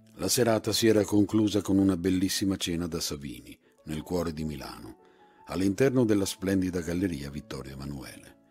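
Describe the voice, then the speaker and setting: Over music in the background, a man talks at a fairly quick pace with a very deep, low pitch and ordinary pitch variation. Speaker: actor and voice actor. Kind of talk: literary short story reading.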